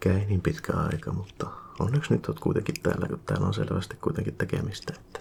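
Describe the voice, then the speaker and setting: Soft-spoken, calm speech at a moderate pace with very wide pitch swings. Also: man. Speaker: ASMR creator. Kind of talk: ASMR roleplay, maintenance technician.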